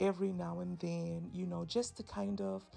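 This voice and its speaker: Music sits in the background. A woman speaks with a very deep, low pitch and very wide pitch swings. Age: 30s. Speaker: vlogger. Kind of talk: casual chat. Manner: halting, many fillers.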